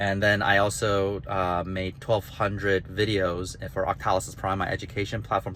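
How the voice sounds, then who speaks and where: The man's tone is bright and sharp. He keeps a moderate pace. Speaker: author and gamification designer. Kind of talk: casual vlog monologue. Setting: in a car while driving. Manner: halting, with stutters and restarts.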